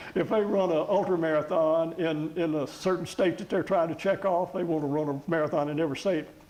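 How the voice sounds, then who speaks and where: Over noticeable background noise, a man with a high pitch talks at a fairly quick pace with fairly even intonation. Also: hardly any pauses. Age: 70s. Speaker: retired professor and marathon runner. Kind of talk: interview.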